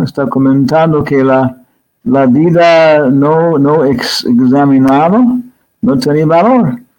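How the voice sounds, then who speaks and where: A man with an English accent, fairly high pitch, lively intonation, a very slow pace and very even loudness. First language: English (speaking Spanish). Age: 70s. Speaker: spiritual teacher and scholar. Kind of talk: interview. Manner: halting.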